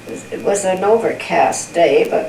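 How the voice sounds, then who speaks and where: A woman talks at a moderate pace while noticeable background noise continues around her. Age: old. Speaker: grandmother. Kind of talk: family interview answer.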